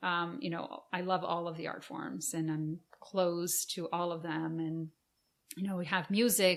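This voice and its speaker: Speaking at a fairly slow pace, a woman with a Portuguese accent keeps her intonation fairly even. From Brazil. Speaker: arts organization founder, former professional performer. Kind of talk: podcast interview.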